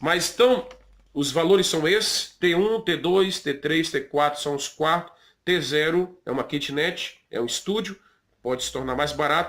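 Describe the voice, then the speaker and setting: This man speaks with a Brazilian accent at a fairly slow pace. His voice is fairly high, and his intonation is lively. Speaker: pastor and vlogger. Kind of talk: informal advice vlog. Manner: conversational, with many fillers.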